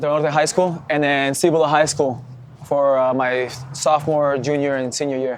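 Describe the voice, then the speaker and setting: There is noticeable background noise. The speaker's intonation is monotone and flat. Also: man, fairly high pitch for a man, moderate pace. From Mexico, Chihuahua (Parral), raised in Albuquerque from age seven. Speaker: professional soccer player. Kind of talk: casual interview.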